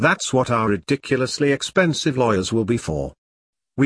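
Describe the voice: With little noise in the background, the voice reads aloud plainly.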